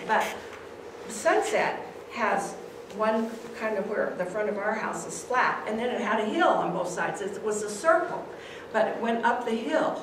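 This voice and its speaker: A woman with an American accent and a fairly high voice talks at a moderate pace with lively intonation, amid noticeable background noise and audible room echo. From Clarkdale, Arizona, USA. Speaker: retired teacher. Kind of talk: oral history presentation. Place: hall. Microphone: camera far.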